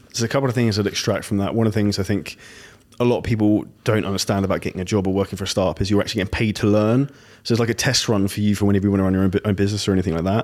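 A man with a British accent speaks at a very fast pace in a fairly low voice, his loudness very even and his intonation fairly even. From Britain. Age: 30s. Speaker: podcast host. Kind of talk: interview.

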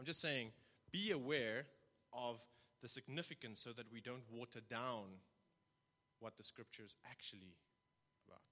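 A man with a medium pitch and bright, sharp tone speaks at a moderate pace with ordinary pitch variation, big swings in loudness and long, frequent pauses. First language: not English. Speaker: church elder and lay preacher. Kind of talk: sermon. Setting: church. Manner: halting.

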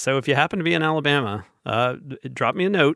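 A plain, everyday voice at a fairly quick pace, very clean recording with a silent background, dry and close with no echo. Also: man. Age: 40s. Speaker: podcast host. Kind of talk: casual chat.

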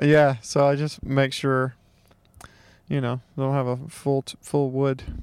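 A man speaks very slowly in a fairly high pitch. His intonation is monotone and flat. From Mississippi. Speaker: comedian. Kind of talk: casual chat.

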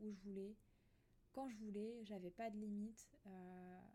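A woman's voice of medium pitch and a dark, mellow tone, at a moderate pace. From Alsace, France. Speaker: podcaster. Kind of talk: personal monologue. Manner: soft-spoken, calm; hesitant, many fillers.

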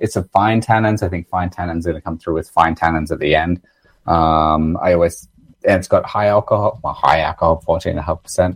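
Recorded dry and close with no echo against a quiet background, a man with a very deep, low voice speaks at a moderate pace with fairly even intonation. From Australia. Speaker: winemaker. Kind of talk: casual interview chat.

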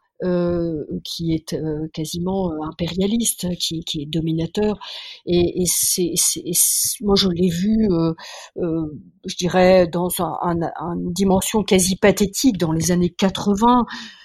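A woman's fairly low voice, very slow and with fairly even intonation. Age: 60s. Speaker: biologist and science journalist. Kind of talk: interview. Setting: remote call. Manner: halting, many repetitions. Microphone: poor sound quality.

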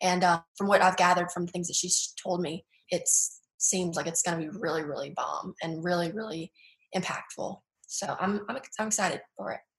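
At a moderate pace, a woman speaks in a fairly low pitch with fairly even intonation and a slight Southern US accent. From Baton Rouge, Louisiana.

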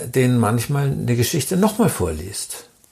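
At a moderate pace, a man with a dark, mellow tone and medium pitch speaks using vocal fry and very wide pitch swings. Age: 70s. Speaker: author and illustrator. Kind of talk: interview.

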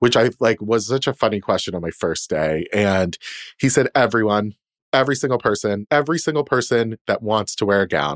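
Fairly quick and lively in intonation, a man with a medium pitch is heard in a dry, close sound with no echo and a quiet background. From Boston. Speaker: casting director. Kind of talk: casual chat. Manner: animated.

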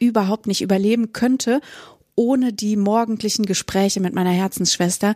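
A woman speaks at a moderate pace with a medium pitch, in a dry, close recording with no echo that is very clean against a silent background. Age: 30s. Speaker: teacher and podcast co-host. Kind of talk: casual chat.

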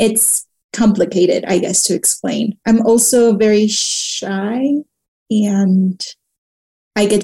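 The recording is dry and close with no echo. A woman speaks very slowly in a dark, mellow, somewhat breathy tone. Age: 30s. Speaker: writer and screenwriter. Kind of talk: interview conversation.

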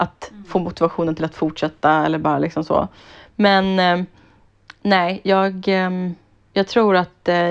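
A woman's medium-pitched voice at a fairly slow pace, with fairly even intonation over a quiet background. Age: 30s. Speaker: podcast co-host. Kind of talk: casual chat.

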